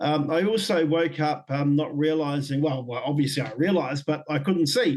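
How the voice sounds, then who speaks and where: In a New Zealand accent, a man speaks at a moderate pace with a fairly high pitch and fairly even intonation. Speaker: Māori leader and former public servant. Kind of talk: podcast interview testimony. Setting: video call. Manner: occasionally slurred words after stroke.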